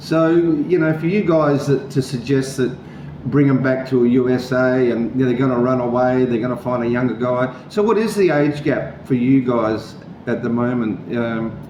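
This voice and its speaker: A man with an Australian accent talks at a medium pitch and moderate pace, with ordinary pitch variation. Room echo and background noise are both noticeable. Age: 60s. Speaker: vlogger. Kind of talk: interview. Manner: halting.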